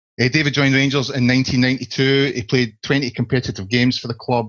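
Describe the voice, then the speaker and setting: A man speaks at a medium pitch with a Scottish accent. His pace is moderate. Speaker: podcast host, football fan site. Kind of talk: casual football podcast discussion.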